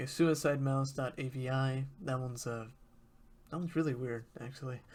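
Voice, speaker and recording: Somewhat breathy and at medium pitch, a man speaks at a moderate pace with fairly even intonation. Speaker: YouTuber discussing creepypasta. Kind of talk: casual commentary reading from a web page. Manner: hesitant, many fillers.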